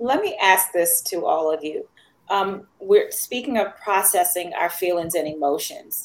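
A woman with an unremarkable speaking voice talks at a fairly slow pace and medium pitch, with ordinary pitch variation. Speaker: podcast host. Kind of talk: moderated panel discussion.

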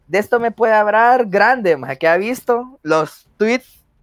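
A man with a Salvadoran accent talks with lively intonation, and the sound is dry and close with no echo. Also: very clean recording, silent background. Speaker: podcast host. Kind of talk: casual chat.

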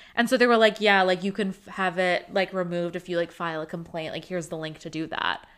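A woman with an American accent at a medium pitch, very fast pace and hardly any pauses, fairly even intonation, big swings in loudness, and a very clean recording with a silent background. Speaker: podcast co-host. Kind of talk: casual chat.

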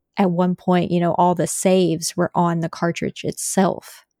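The voice has a dark, mellow tone. The sound is dry and close, with no echo. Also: woman. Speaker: content creator. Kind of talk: casual chat. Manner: monotone.

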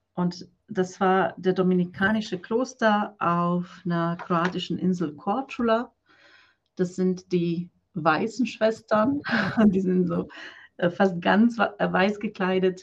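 A woman speaks at a very slow pace with medium pitch and ordinary pitch variation. Her voice is somewhat breathy. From Croatia. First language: Croatian (speaking German). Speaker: business coach for women, former nun. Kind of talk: interview.

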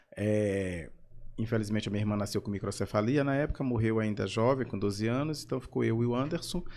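A man with a Maranhão accent talks fairly quickly at a fairly low pitch, with ordinary pitch variation. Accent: Maranhão Portuguese (Brazilian northeast). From São Luís, Maranhão, Brazil. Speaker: actor and comedian. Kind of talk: casual interview chat.

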